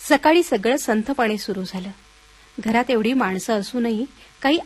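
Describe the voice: The speaker is engaged in plain reading aloud.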